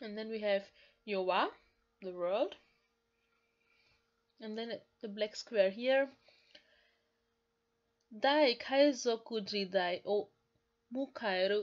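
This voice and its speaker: Speaking at a very slow pace with long, frequent pauses, a woman uses a fairly high voice with ordinary pitch variation. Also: big swings in loudness. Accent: strong non-native. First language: not English. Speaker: language learner and YouTuber. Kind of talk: casual language-lesson talk to camera.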